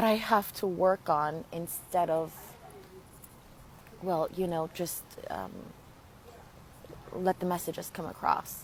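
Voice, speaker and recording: Her speech comes at a very slow pace in a Spanish accent. The woman keeps a fairly even intonation. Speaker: spiritual healer and channeler. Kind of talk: live stream talk. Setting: Facebook live video. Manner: halting.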